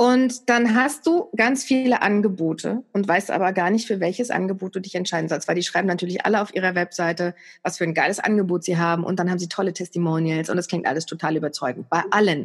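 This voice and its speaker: A woman talks at a very fast pace, leaving hardly any pauses. Her pitch is medium, with ordinary pitch variation. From East Germany. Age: 40s. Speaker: TV and radio presenter. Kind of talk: casual interview.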